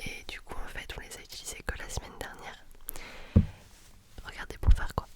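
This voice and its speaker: A woman whispers in a relaxed tone at a fairly quick pace, with long, frequent pauses. Her loudness swings widely, and background noise is noticeable. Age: 20s. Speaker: ASMR creator, dancer. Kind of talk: ASMR talking with triggers, casual chat to viewer. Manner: relaxed, chatty, soft-spoken.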